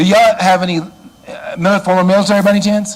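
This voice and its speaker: Loud speech in an American accent comes over noticeable background noise. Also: man. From Chicago, US Midwest. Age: 60s. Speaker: church security trainer. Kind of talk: lecture. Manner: animated.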